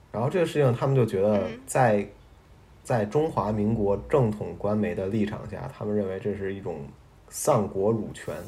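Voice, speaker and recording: With audible room echo, a man with a fairly low voice speaks at a moderate pace and with lively intonation. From Beijing, China. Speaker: podcast co-host. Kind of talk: casual chat.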